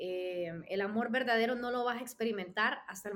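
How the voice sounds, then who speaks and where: This woman keeps a moderate pace. Her intonation stays fairly even. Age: 30s. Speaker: sports radio host. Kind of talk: interview.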